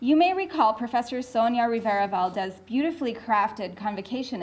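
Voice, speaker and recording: A woman with an ordinary speaking voice talks at a fairly quick pace. Her pitch is fairly high and her intonation lively. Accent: Canadian. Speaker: professor. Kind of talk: lecture.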